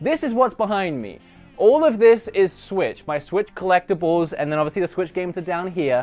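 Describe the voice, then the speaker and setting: An animated man with an Australian accent talks in a high pitch with lively intonation. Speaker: gaming YouTuber. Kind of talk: casual room tour vlog.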